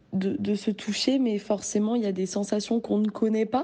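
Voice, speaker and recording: A dark, mellow female voice of medium pitch with fairly even intonation. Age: 20s. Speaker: testimony contributor. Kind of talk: recorded testimony.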